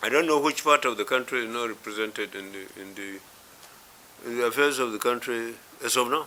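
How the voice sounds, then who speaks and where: Lively intonation from a man, noticeable background noise around him. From northwest Nigeria. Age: 80s+. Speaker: elder statesman. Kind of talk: interview. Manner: halting, many fillers.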